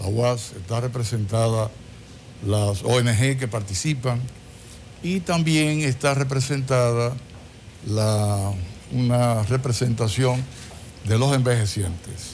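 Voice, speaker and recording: A very slow, somewhat breathy delivery with ordinary pitch variation, long, frequent pauses and audible room echo. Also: man, medium pitch for a man. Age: 70s. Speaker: government official and physician. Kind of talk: TV interview.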